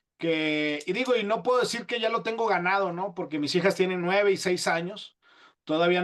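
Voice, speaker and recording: A man speaks in a high voice at a moderate pace, with ordinary pitch variation. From northern Mexico. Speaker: podcast host. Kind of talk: casual interview. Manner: halting.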